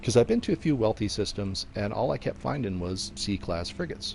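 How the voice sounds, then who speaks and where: His voice somewhat breathy, a man speaks in a fairly low pitch with lively intonation. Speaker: video game streamer. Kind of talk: live gameplay commentary. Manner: constant chatter. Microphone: headphones with mic, new.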